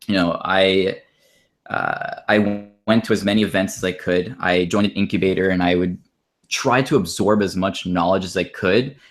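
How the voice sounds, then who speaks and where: On a very clean recording with a silent background, a speaker with an American accent keeps a moderate pace. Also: man. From Florida, then Montreal, Quebec. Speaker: startup founder. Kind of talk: interview.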